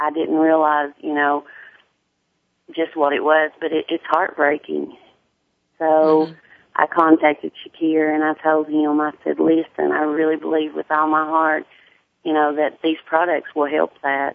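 With a strong Southern US accent, a woman talks fairly slowly in a very deep, low, monotone, flat voice, pausing long and often. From US South, Tennessee. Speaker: hairstylist and sickle cell advocate. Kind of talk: casual radio interview.

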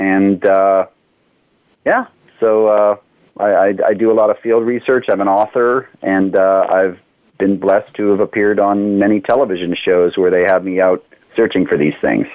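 A plain, everyday voice at a moderate pace, with very even loudness and fairly even intonation. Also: man, fairly low pitch for a man. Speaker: cryptozoologist. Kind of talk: casual interview.

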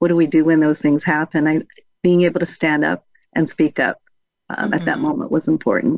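A woman with an American accent uses a plain, everyday voice. Her fairly low pitch shows ordinary pitch variation. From San Diego, California. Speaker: college faculty and community leader. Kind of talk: panel discussion.

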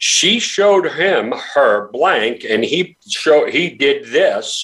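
A man talks with an American accent. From New York. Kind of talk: interview.

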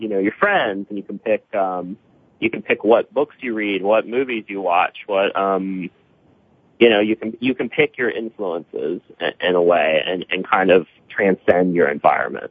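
This man has an American accent and a fairly low pitch. He talks at a moderate pace with ordinary pitch variation. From US Midwest, southern Ohio. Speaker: writer and artist. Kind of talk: radio interview. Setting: phone call. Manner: hesitant, filled with ums and restarts.

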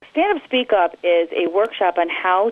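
With a Midwestern American accent, a woman speaks at a fairly low pitch, her voice making very wide pitch swings. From US Midwest, Detroit area. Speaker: PR firm owner and journalist. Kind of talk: radio interview.

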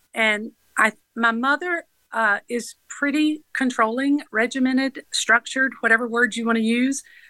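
A woman with a high pitch speaks at a moderate pace with fairly even intonation and a bright, sharp tone, in a dry, close recording with no echo that is very clean against a silent background. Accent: Southern US. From US South, Georgia (Atlanta area). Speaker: nonprofit founder. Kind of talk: interview.

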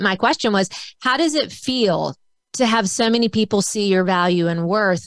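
Using a normal speaking voice, a woman talks at a fairly quick pace with a fairly high pitch and lively intonation, on a very clean recording with a silent background. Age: 50s. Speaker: author and speaker. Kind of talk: casual chat.

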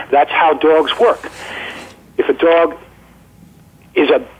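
A man's voice over noticeable background noise. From New York. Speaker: former greyhound trainer and online greyhound resource. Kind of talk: interview, informative conversation.

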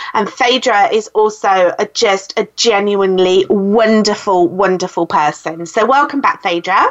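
A woman with a British accent, warm, animated tone, medium pitch and ordinary pitch variation, fairly slow pace, hardly any pauses and very even loudness. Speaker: podcast host and speaking coach. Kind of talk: interview conversation. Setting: phone call.

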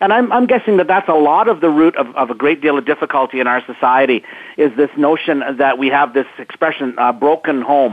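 Here is a man with a normal speaking voice and a fairly high pitch. His intonation is lively and his loudness very even. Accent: Canadian. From Canada. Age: 50s. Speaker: motivational speaker. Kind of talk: interview.

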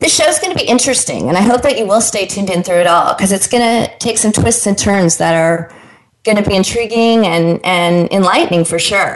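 A woman with a plain, everyday voice speaks at a fairly quick pace in a medium pitch, with very even loudness and ordinary pitch variation. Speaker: radio host; life coach and motivational speaker. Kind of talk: radio interview show. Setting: radio studio broadcast.

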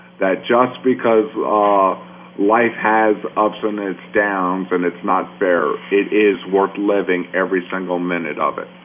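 Against noticeable background noise, a man speaks at a fairly slow pace in a fairly low voice with ordinary pitch variation. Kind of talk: radio interview.

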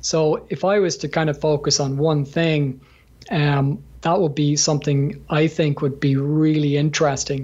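In an Irish accent, a man with a fairly high pitch speaks at a fairly slow pace, his delivery monotone and flat, somewhat breathy, and very even in loudness. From Ireland. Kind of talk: interview, conversational.

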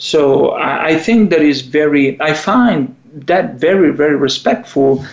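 Someone speaks with an Italian accent at a fairly slow pace. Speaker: psychologist and radio show co-host. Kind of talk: radio talk show. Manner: halting, with fillers and repetitions.

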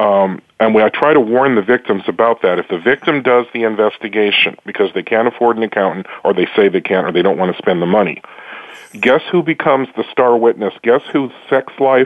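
At a moderate pace, a normal speaking voice shows ordinary pitch variation and very even loudness. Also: man. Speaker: prosecutor. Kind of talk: interview answers.

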